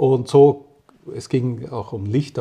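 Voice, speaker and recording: The tone here is dark and mellow, with vocal fry. Intonation stays fairly even. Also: man. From Austria, rural. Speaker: physicist and company director. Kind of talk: interview. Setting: doctor's practice. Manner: halting.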